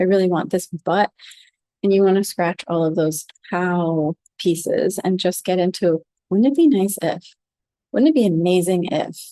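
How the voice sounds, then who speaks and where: Soft-spoken and with an American accent, a woman has a dark, mellow tone, a medium pitch and ordinary pitch variation, in a dry, close sound with no echo. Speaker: flower essence teacher. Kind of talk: talk on a group call. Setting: group call.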